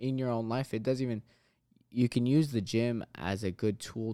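On a very clean recording with a silent background, a man speaks with a dark, mellow tone, medium pitch and fairly even intonation. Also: dry, close sound with no echo. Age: 20s. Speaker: fitness business owner. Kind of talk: casual interview.

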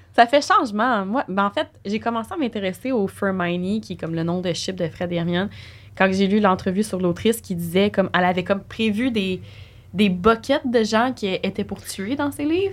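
With a normal speaking voice, a woman talks at a moderate pace, her medium pitch showing ordinary variation. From Quebec. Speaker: podcast co-host. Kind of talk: casual chat.

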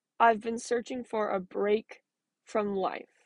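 Recorded with a dry, close sound with no echo over a quiet background, a woman speaks fairly high in an unremarkable speaking voice. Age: 20s. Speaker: podcast host sharing mental health story. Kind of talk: personal monologue.

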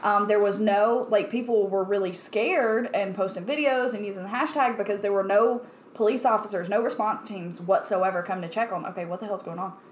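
Over noticeable background noise, a woman speaks at a fairly quick pace with hardly any pauses, her medium pitch showing ordinary variation. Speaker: podcast co-host. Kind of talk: casual chat. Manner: excitable.

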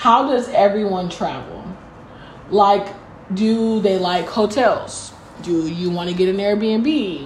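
Against noticeable background noise, a woman speaks at a medium pitch and a very slow pace, with long, frequent pauses. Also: ordinary pitch variation. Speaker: podcast co-host. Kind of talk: casual chat.

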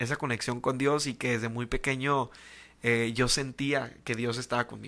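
With a bright, sharp tone, a man speaks at medium pitch and a moderate pace, his pitch varying in an ordinary way. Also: very clean recording, silent background. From Tijuana, Mexico. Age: 20s. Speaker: church youth leader. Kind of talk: casual chat.

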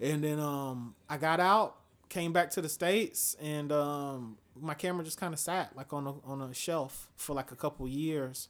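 A man speaks at a moderate pace in a fairly high pitch, with ordinary pitch variation. The recording is very clean, the background silent. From Atlanta, Georgia. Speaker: photographer and military veteran. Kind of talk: casual interview.

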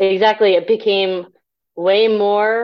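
In an American accent, a woman talks at a fairly slow pace. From US military family abroad and Nebraska. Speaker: humanist group member. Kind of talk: interview.

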